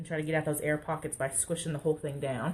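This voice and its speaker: A woman's somewhat breathy, very deep, low voice with an American accent. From Texas. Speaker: crafter. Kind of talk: live stream craft tutorial. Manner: casual, chatty.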